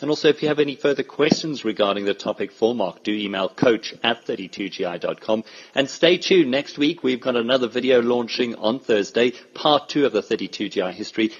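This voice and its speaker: A man at medium pitch with ordinary pitch variation, talking at a moderate pace with hardly any pauses over noticeable background noise. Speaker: podcast host. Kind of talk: podcast interview.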